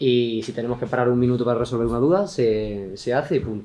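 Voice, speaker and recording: A man with an Andalusian accent and a medium-pitched voice speaks with ordinary pitch variation over noticeable background noise. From Andalusia, southern Spain. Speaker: IT consultant presenter. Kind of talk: tech talk presentation. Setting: meetup with live audience. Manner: fast.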